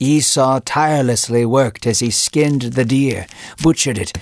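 What the recording offers is an unforced reading voice.

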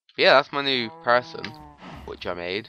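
With lively intonation, a man talks while music plays behind him. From British. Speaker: gaming commentator. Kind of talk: casual let's play commentary. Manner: casual, chatty.

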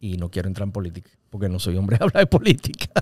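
The sound is dry with no echo as a man speaks at a fairly low pitch over a quiet background. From Venezuela, Caracas. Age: 40s. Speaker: actor and radio host; actor, radio host. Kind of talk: casual interview. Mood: relaxed, humorous. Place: studio. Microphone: studio mic.

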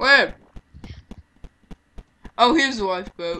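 A bright, sharp tone rings out in a raised, projected voice. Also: man. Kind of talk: casual gameplay commentary. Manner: low-energy.

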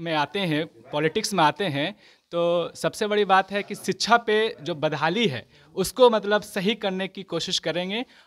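A man's high-pitched voice at a fairly slow pace, with ordinary pitch variation and big swings in loudness. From Bihar, India. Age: young. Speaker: student voter. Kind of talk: vox pop interview; interview answer. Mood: earnest, celebratory. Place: street. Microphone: handheld.

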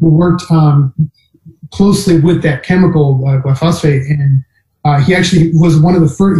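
A man's high pitch with fairly even intonation at a fairly quick pace, audible room echo and a quiet background. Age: 40s. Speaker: plant-based diet advocate. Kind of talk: casual interview. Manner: halting, many fillers. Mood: earnest, passionate. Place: home room. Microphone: video call.

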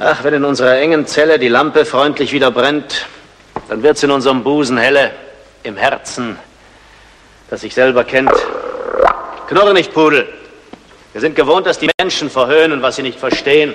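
A man talks at a moderate pace, with long, frequent pauses. Light background noise can be heard. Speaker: actor playing a scholar. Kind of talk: theatrical monologue in verse. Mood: brooding, searching. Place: stage.

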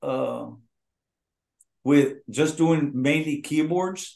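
A man with an American accent talks at a very slow pace with ordinary pitch variation and audible room echo. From Eagle Pass, Texas. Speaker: Tejano singer. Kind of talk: interview answer. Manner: candid. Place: home room. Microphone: video call.

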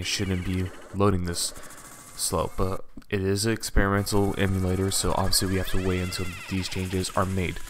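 A man with very deep, low pitch talks at a moderate pace amid noticeable background noise. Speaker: emulator gameplay tester. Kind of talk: gameplay commentary. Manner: stuttering, hesitant.

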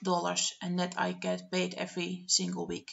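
A woman talks with a Dutch accent. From Netherlands. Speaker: budgeting vlogger. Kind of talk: screen-share tutorial narration. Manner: hesitant, many filler words. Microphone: webcam.

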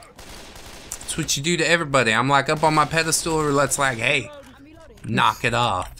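Noticeable background noise around a fairly high male voice, moderately paced, with ordinary pitch movement. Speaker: gaming video creator. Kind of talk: casual let's play commentary. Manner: jokey, laughs often.

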